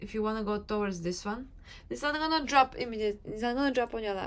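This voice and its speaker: A woman speaks with ordinary pitch variation and a non-native accent. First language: not English. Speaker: manifestation coach, YouTuber. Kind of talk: motivational talk to camera.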